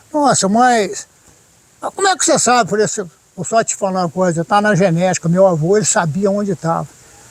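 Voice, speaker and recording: A man's high-pitched voice with lively intonation at a fairly quick pace, over noticeable background noise. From Brazil, São Paulo–Minas Gerais border. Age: 60s. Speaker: sculptor and storyteller. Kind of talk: interview, casual storytelling.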